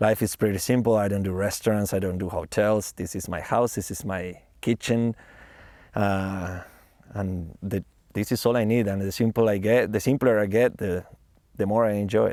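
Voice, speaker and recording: In a very clean recording with a silent background, a man speaks with a Spanish accent, his fairly low voice dark and mellow in tone. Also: fairly even intonation, moderate pace. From Argentina, Buenos Aires. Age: 20s. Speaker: van-life traveler. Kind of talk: documentary interview.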